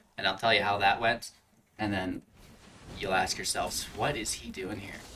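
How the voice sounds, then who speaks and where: Mumbling at a moderate pace, a man speaks in a fairly low pitch with a bright, sharp tone. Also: fairly even intonation. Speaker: gaming YouTuber. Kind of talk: gameplay commentary. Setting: home recording with green screen.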